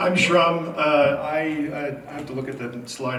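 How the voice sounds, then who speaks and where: A man's voice with fairly even intonation, noticeable background noise and audible room echo. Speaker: Twitch streamer. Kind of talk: convention panel talk. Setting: stage with audience. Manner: speaking quietly. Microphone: far from the mic.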